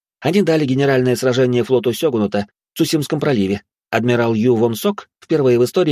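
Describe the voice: Against a quiet background, text is read out plainly with ordinary pitch variation.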